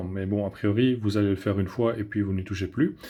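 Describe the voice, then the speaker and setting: Recorded very cleanly against a silent background, a man speaks with fairly even intonation. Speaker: tech reviewer. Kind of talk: product review. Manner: hesitant, many filler sounds.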